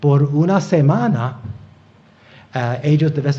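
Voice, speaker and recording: Audible room echo surrounds a man speaking with a non-native accent. His tone is dark and mellow, and somewhat breathy. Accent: non-native Spanish accent (own remark). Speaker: preacher, Bible teacher. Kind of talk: sermon. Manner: halting, many fillers and repetitions.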